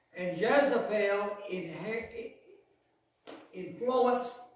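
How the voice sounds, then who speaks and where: A man speaks very slowly in a high voice. Room echo is audible. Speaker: pastor. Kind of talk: sermon. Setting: church. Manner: loud.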